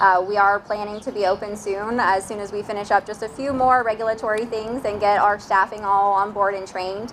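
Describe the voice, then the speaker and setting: A woman with a medium-pitched voice speaks fairly quickly in a flat monotone. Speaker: hospital executive. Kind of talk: ceremony speech. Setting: outdoors with PA system. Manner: projecting voice. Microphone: quiet speakers.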